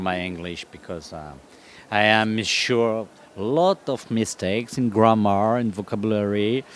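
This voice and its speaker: A man with a French accent speaks at a fairly low pitch. His intonation stays fairly even. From France. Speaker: comic artist. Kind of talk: interview. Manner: halting.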